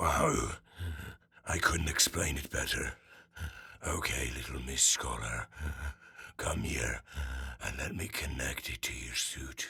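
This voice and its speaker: Putting on a raspy character voice, a man speaks very deep and low at a fairly slow pace with long, frequent pauses. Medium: audio drama. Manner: gentle, patient, sighing.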